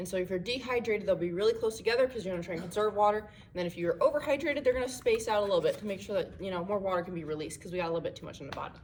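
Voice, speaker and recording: Very fast pace with hardly any pauses and big swings in loudness. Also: woman, medium pitch for a woman. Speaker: student presenter. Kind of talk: tutorial. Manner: casual.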